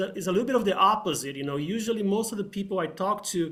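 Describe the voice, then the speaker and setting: A high-pitched man speaks with a slight Brazilian accent. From Brazil, São Paulo. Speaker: engineer. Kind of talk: technical presentation. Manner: halting, many fillers.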